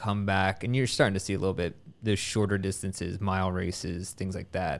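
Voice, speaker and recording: A man's fairly low voice at a fairly quick pace, an ordinary speaking voice, in a very clean recording with a silent background. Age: 30s. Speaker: running podcast host. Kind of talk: casual interview.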